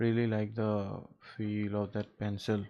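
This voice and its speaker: A man with an Assam accent. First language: Assamese. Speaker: artist livestreamer. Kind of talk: casual livestream chat. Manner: hesitant, many fillers; relaxed.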